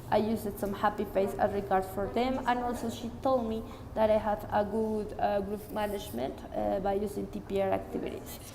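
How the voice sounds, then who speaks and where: Amid audible room echo and noticeable background noise, a woman talks at a fairly quick pace with ordinary pitch variation. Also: medium pitch for a woman. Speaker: student teacher of English. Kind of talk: spoken report. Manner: loud.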